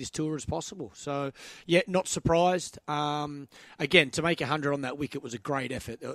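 With a normal speaking voice and fairly high pitch, a man is heard in a dry, close sound with no echo. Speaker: cricket analyst. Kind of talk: casual chat.

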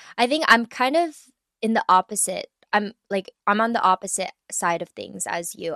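A woman speaks at a moderate pace in a bright, sharp tone, with a dry, close sound that has no echo and a quiet background. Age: 30s. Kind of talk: casual chat. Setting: remote recording between cities.

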